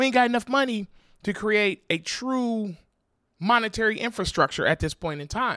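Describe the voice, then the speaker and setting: A man's high, bright, sharp voice, raised and projected, animated in tone, at a moderate pace with ordinary pitch variation, dry and close with no echo, on a very clean recording with a silent background. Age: 40s. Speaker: podcast host. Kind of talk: casual monologue.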